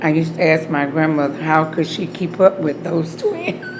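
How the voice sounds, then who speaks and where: With an Alabama accent, a woman talks at a moderate pace with ordinary pitch variation, amid noticeable background noise and audible room echo. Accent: Southern US (Alabama). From US South, Opelika, Alabama. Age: 60s. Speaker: beauty salon owner. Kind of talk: oral history interview.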